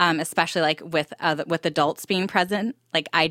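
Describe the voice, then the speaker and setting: A woman with an American accent, a bright, sharp tone, fairly even intonation and a fairly quick pace, in a dry, close sound with no echo on a very clean recording against a silent background. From Southern California. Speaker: entrepreneur. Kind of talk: casual interview.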